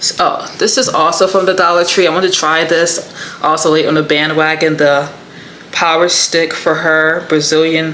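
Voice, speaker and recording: Someone talks at a moderate pace in an American accent. Audible room echo and noticeable background noise are present. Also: woman. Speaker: beauty vlogger. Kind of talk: casual vlog haul. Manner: animated.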